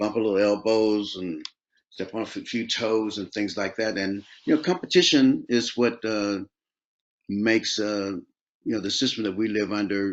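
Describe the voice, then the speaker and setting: Against a quiet background, a man with a fairly low pitch and an American accent speaks in a plain, everyday voice with ordinary pitch variation. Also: moderate pace. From Oakland, California. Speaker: R&B soul singer. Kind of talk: interview answer. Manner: relaxed, conversational.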